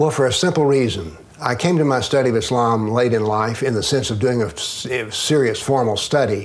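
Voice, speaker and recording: A man with a Southern US accent talks at a fairly quick pace with hardly any pauses, medium pitch and ordinary pitch variation. Audible room echo and noticeable background noise come through. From US South. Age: 70s. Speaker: retired professor and author on political Islam. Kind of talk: interview.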